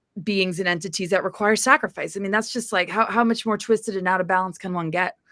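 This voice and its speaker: A woman talks in a bright, sharp tone with fairly even intonation. The recording is very clean, with a silent background. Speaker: spiritual author. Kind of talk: interview. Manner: fast.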